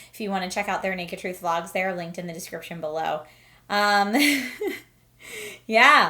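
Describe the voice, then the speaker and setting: A woman's medium-pitched voice with a bright, sharp tone, ordinary pitch variation, a moderate pace and long, frequent pauses. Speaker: vlogger. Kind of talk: casual vlog monologue. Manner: scattered, hesitant with fillers.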